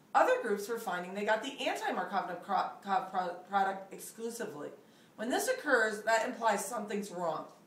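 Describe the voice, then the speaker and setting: A woman at a moderate pace, with ordinary pitch variation and audible room echo. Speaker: chemistry teacher. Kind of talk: lecture. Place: home room. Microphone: camera far.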